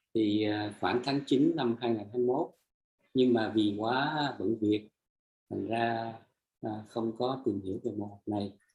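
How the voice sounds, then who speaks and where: At a fairly slow pace, a man speaks at medium pitch, somewhat breathy, with fairly even intonation. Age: 60s. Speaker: energy healing practitioner sharing testimony. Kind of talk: testimony. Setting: live stream. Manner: halting; soft-spoken.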